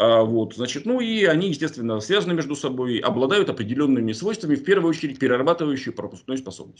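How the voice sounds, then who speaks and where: A man's very fast delivery with hardly any pauses, very wide pitch swings, and a quiet background. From Siberia, Russia. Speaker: mathematician, researcher. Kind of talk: conference presentation. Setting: video call. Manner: formal. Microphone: video call.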